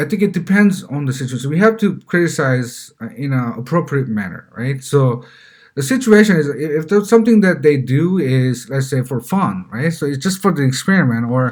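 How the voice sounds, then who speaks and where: With a Korean accent, a man speaks at a fairly quick pace in a fairly high, somewhat breathy voice that makes very wide pitch swings. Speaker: parenting vlogger. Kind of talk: casual monologue. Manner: halting, many fillers and repeats.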